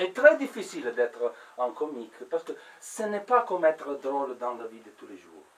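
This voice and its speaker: A man with an Italian accent speaks over noticeable background noise. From Italy. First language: Italian (speaking French). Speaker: comedian. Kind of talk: stand-up. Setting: stage with audience. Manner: halting, many hesitations and repeats.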